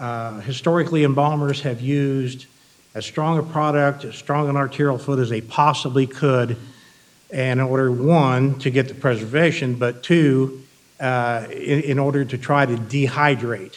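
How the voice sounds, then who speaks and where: The room echo is audible as a man speaks. He has an American accent and fairly even intonation. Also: medium pitch for a man, moderate pace. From Iowa. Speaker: embalming fluid manufacturer representative. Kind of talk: industry presentation. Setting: stage with audience.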